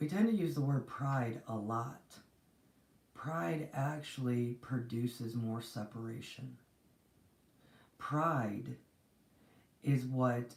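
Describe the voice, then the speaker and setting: Soft-spoken, a woman talks in a very deep, low pitch with ordinary pitch variation. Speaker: spiritual reader / channel host. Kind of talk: live-stream spiritual teaching. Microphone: too quiet.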